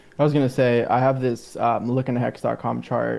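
A man talks at a moderate pace in a plain, everyday voice. His pitch sits in the medium range. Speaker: website creator. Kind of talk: casual live stream chat. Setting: video call.

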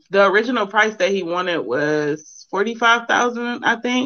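In an ordinary speaking voice, a woman talks at a moderate pace with lively intonation. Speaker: caller. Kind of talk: casual chat. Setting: phone call.

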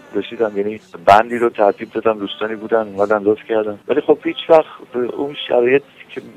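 Talking at a very fast pace, a man uses a fairly low pitch with ordinary pitch variation. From Iran, Tehran. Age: 60s. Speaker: musician. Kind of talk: interview.

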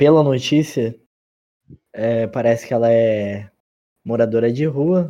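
A man talks at a very slow pace in a dark, mellow tone. His pitch variation is ordinary. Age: 20s. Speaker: podcast co-host. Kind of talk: casual comedic chat.

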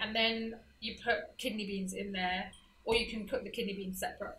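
Music plays in the background as a woman speaks at a fairly quick pace. Her medium-pitched voice has a monotone, flat intonation. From England, UK, of Trinidadian parents. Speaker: home cook, guest. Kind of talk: casual chat over a meal.

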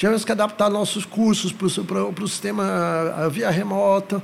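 A man's high-pitched voice at a moderate pace. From São Paulo city, Brazil. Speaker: psychologist. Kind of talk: casual interview.

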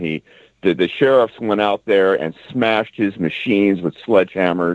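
A man with an unremarkable speaking voice uses ordinary pitch variation and keeps a moderate pace. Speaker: talk show panelist. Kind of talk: casual talk radio discussion.

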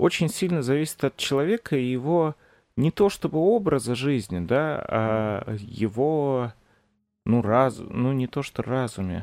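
A man speaks very slowly at a medium pitch, his intonation lively. The recording is very clean, with a silent background. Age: 20s. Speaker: podcast host. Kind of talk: casual chat.

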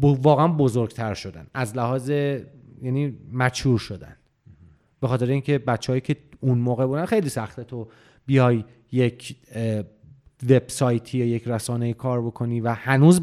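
A man talks at a moderate pace in a normal speaking voice, with medium pitch and ordinary pitch variation. The recording is very clean, with a silent background. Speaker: games journalist. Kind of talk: casual interview.

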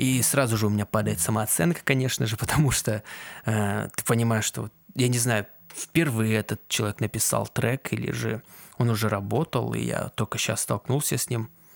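A man talks at a medium pitch and moderate pace, his intonation fairly even and touched with vocal fry. The sound is dry and close, with no echo. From Kazakhstan. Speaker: aspiring sound engineer and musician, podcast host. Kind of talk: solo casual podcast monologue. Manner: halting, many filler sounds.

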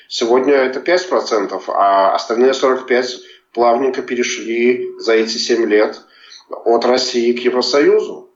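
A man at a very slow pace, his loudness very even, with audible room echo. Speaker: journalist. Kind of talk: interview. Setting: remote call.

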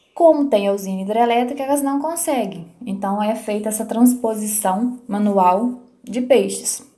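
Her dark, mellow tone sits at a fairly high pitch as the woman speaks at a fairly slow pace with hardly any pauses and ordinary pitch variation, and room echo is audible. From Minas Gerais, Brazil (rural Palma). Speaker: biologist. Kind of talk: interview. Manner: halting, many repeated words.

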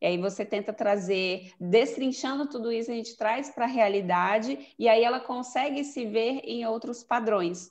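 A woman's unremarkable speaking voice, fairly high, at a moderate pace with hardly any pauses. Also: ordinary pitch variation. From Brasília, Brazil. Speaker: image consultant. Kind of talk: casual chat.

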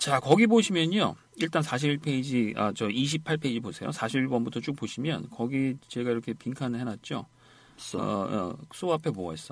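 A man at a medium pitch and fairly slow pace, with lively intonation and a plain, everyday voice. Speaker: English conversation teacher. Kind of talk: lecture. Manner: repetitive drilling.

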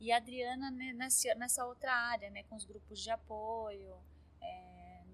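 Behind the speech, background noise is noticeable. A woman delivers it at a very slow pace. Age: 50s. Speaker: art curator and gallery owner. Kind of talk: interview.

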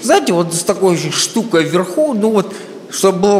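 High male speech with noticeable background noise behind it. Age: 30s. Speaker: comedian. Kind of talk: stand-up. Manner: sounds drunk.

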